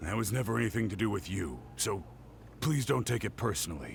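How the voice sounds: Putting on a character voice, a man talks at a fairly quick pace and a fairly low pitch, with vocal fry and big pitch swings.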